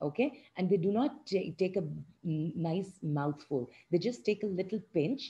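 Reading aloud, the voice natural

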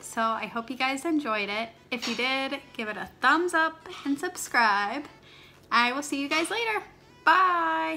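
With a bright, sharp tone and very wide pitch swings, a woman speaks in a raised, projected voice at a fairly slow pace against light background noise. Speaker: vlogger. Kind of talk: casual vlog chat. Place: kitchen. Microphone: phone near.

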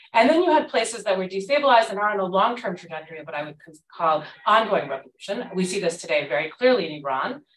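A woman at a very fast pace, very wide pitch swings and big shifts in loudness, with audible room echo and light background noise. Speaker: Middle East scholar; panelist. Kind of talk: academic panel talk. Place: classroom.

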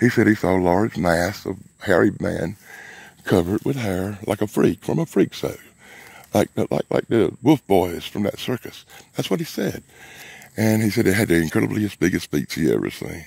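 Lively in intonation with vocal fry, a man talks at a moderate pace in a fairly low pitch, the sound dry with no echo and the background quiet. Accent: Southern US. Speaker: vlogger, bigfoot investigator. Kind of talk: outdoor vlog narration. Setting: outdoors in the woods. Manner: quieter, cautious. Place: forest. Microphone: phone near.

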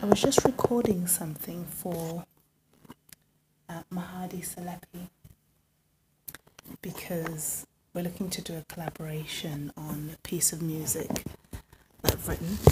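A soft-spoken, somewhat breathy woman with a dark, mellow tone and fairly low pitch, at a fairly slow pace with fairly even intonation, big swings in loudness and long, frequent pauses, over loud background noise. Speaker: music producer and livestreamer; livestreamer. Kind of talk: casual livestream chat. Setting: home livestream. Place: home room. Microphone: phone near.

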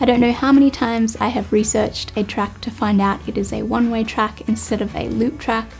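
A woman talking at a fairly quick pace over faint background music. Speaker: hiking channel host. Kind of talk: talk to camera, pros and cons list. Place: home room.

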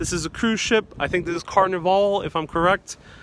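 The man's voice is high in pitch. Noticeable background noise runs underneath. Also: dry sound with no echo. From Puerto Rican heritage. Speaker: travel vlogger. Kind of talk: live-stream travel tour. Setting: outdoors. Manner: animated. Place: street. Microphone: phone near.

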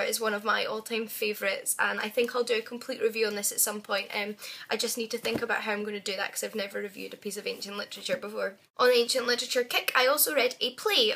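A woman speaks with a Scottish accent. Her pace is very fast. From Scotland. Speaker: book vlogger. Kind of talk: casual talk to camera. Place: home room. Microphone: webcam.

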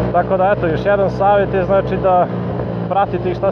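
Loud background noise runs under a man who talks at a moderate pace. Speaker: motorcycle vlogger. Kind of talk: casual vlog chat. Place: motorbike. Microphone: helmet.

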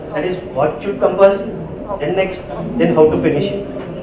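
The speech moves at a fairly slow pace, with noticeable background noise and audible room echo. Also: man. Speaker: conference presenter. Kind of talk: lecture. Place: hall.

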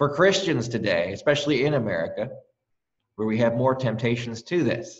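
A somewhat breathy male voice against a quiet background. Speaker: pastor. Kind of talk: sermon. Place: church.

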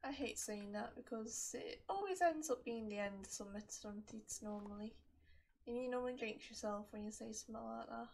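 Soft-spoken and somewhat breathy, a woman talks at a fairly quick pace in a relaxed tone, her fairly high pitch showing ordinary variation. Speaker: gaming YouTuber. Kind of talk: gameplay commentary. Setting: home recording with mic.

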